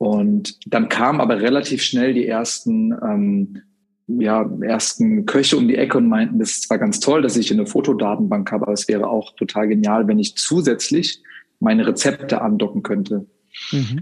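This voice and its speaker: Pitch swinging very widely around a medium level for a man, a man talks at a moderate pace. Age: 30s. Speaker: software sales director, former restaurant professional. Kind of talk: interview.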